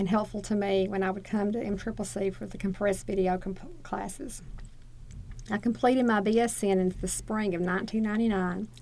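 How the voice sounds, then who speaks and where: Speaking at a fairly quick pace with a Southern US accent, a woman uses a medium pitch, a dark, mellow tone and fairly even intonation. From Northeast Arkansas, USA. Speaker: associate dean for nursing. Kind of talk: oral history interview answer.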